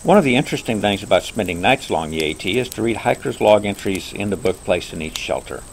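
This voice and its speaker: The speaker talks at a very fast pace with lively intonation, and noticeable background noise is present. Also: man. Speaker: overlander, hiker. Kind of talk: campfire storytelling narration. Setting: outdoors by a campfire, nature sounds.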